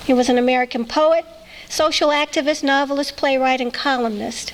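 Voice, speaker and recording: With noticeable background noise, a woman speaks at a moderate pace in a high pitch with fairly even intonation. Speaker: event reader. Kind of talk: introducing authors.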